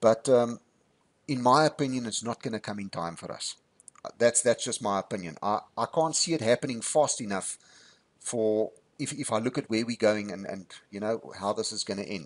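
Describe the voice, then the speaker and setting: In a normal speaking voice, a man speaks at medium pitch and a moderate pace, with ordinary pitch variation and big swings in loudness. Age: 50s. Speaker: YouTube channel host. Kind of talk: interview.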